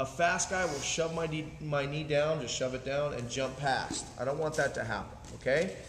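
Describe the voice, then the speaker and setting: Light background noise and audible room echo accompany a man speaking at a moderate pace. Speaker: martial arts instructor. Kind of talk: tutorial. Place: gym. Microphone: camera far.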